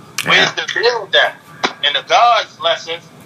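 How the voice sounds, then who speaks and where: Noticeable background noise sits behind a man speaking at a moderate pace with an American accent. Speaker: rapper. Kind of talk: casual interview. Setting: remote call.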